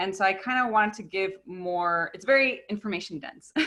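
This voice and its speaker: A woman's normal speaking voice at medium pitch, with lively intonation and a moderate pace. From US, Mexican-American family. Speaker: park educator. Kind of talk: online presentation. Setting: video call.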